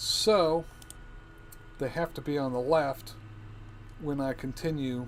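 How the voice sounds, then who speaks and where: A man with a fairly high voice talks at a very slow pace in a relaxed tone, his pitch moving in an ordinary way, with long, frequent pauses. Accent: Alabama. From US South, Alabama and New Orleans. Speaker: video game streamer. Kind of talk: gameplay commentary. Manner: casual, relaxed.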